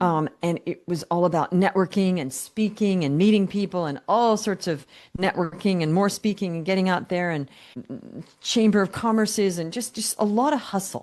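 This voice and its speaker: A woman with a plain, everyday voice, medium pitch, and moderate pace over a quiet background. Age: 60s. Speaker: business coach. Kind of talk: podcast interview.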